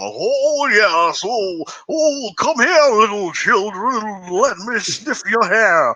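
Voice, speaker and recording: Using a put-on character voice, a man speaks in a raised, projected voice at high pitch and a very slow pace over light background noise. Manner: creepy, wheezy, dotty.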